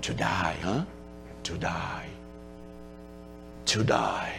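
A put-on character voice comes through over loud background noise. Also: man. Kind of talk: earnest, teacherly, repeated for emphasis.

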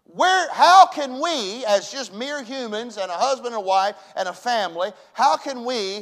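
Speaking with a Southern US accent, a man uses a high pitch and lively intonation. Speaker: pastor. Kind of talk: sermon. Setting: church. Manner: loud.

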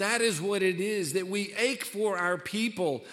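A man with a high pitch. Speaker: pastor. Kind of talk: sermon. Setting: church.

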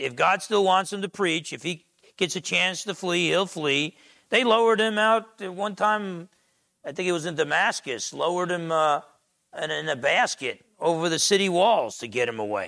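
A man with an American accent speaks in a high pitch with a bright, sharp tone and lively intonation, on a very clean recording with a silent background. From US Northeast, Essex County, New Jersey. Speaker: pastor. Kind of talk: sermon. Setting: church. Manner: loud.

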